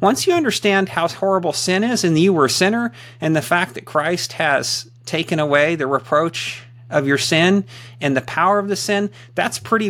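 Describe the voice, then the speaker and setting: An unremarkable speaking voice from a man, moderate pace, lively intonation. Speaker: ruling elder. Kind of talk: casual chat.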